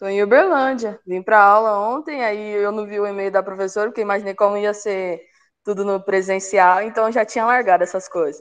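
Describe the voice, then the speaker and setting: A woman in an ordinary speaking voice talks at medium pitch with fairly even intonation against a quiet background. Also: fairly quick pace. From interior of São Paulo state, Brazil (Sertãozinho). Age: 20s. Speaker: university student. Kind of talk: self-introduction in online class. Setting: video call.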